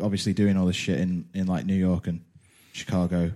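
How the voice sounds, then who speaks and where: Recorded very cleanly against a silent background, a man speaks in a plain, everyday voice at a moderate pace. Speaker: podcast host. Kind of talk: casual chat.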